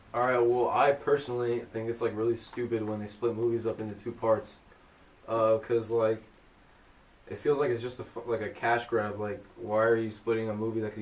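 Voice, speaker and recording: Monotone and flat, a man talks at a fairly quick pace over noticeable background noise. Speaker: podcast host. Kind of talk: casual chat. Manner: loud.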